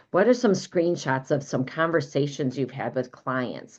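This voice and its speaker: In a Midwestern American accent, a woman with a very deep, low pitch speaks in an animated tone with lively intonation. The background is quiet. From US Midwest. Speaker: business coach. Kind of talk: live online training.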